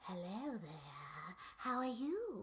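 A female-sounding voice performs a put-on character voice. Clear background noise sits behind it. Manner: classic witch style, theatrical.

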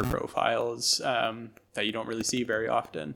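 Speaking at a moderate pace, a man is heard with noticeable background noise behind him. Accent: American. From Bucks County, Pennsylvania. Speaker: brewer. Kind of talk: interview. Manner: hesitant, many fillers.

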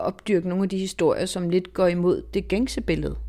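Woman with a dark, mellow tone at a moderate pace. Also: very clean recording, silent background. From southern Zealand, Denmark. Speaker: foreign correspondent and author. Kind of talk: interview conversation.

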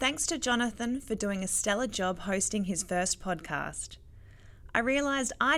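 A woman with an Australian accent, moderate pace, and lively intonation on a very clean recording with a silent background. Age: 30s. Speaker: professional cyclist and podcast host. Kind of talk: casual interview chat.

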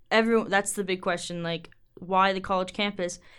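A woman with an American accent speaks at a moderate pace on a very clean recording with a silent background. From Minnesota, Twin Cities area. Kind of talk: casual interview. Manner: halting with fillers.

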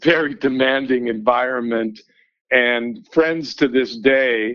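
With a Canadian accent, a man speaks in a normal speaking voice at a medium pitch, with ordinary pitch variation. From Vancouver, Canada. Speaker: newspaper editor. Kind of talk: interview.

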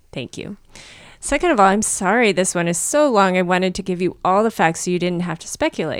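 This woman has a normal speaking voice at a medium pitch. She talks at a fairly quick pace with lively intonation. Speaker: podcast co-host. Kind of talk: casual chat.

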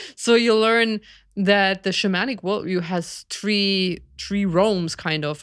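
With a German accent, a woman speaks at a medium pitch on a very clean recording with a silent background. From Germany, village near Berlin. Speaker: biologist and shamanic practitioner. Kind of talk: interview. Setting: live stream.

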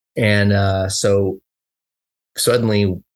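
A man with an American accent speaks in a monotone, with flat intonation and a fairly low pitch. The recording is very clean, with a silent background. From US, Southern California (Los Angeles). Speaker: mountain bike media founder. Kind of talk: casual interview chat.

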